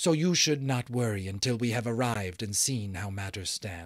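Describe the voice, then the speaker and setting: The speaker uses a put-on character voice at a moderate pace. The recording is very clean, with a silent background. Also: man. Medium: read story. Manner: earnest, formal, without contractions.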